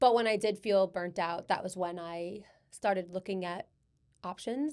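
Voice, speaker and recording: A woman with a strong New York accent at a moderate pace, on a very clean recording with a silent background. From Long Island, New York. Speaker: personal injury attorney. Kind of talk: casual chat.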